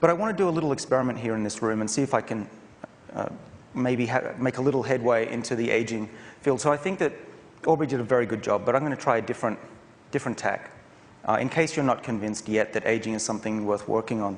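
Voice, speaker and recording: In an Australian accent, a man talks at a very fast pace with a medium pitch. His pitch variation is ordinary, and there is noticeable background noise. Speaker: professor and researcher. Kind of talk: conference talk. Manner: casual, with hesitations.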